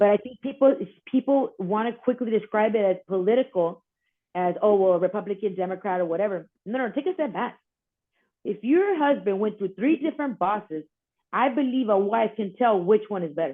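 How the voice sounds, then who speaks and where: Fairly high-pitched and lively in intonation, a woman with an American accent talks at a fairly quick pace. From South Texas. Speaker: border patrol wife, advocate. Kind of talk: interview answer. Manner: outspoken.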